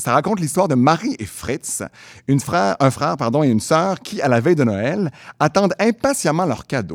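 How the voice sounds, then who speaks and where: A man with a Quebec accent speaks at a moderate pace in a fairly high pitch with lively intonation. The recording is very clean with a silent background, dry and close with no echo. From Quebec City. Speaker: theatre creator and storyteller. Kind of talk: storytelling.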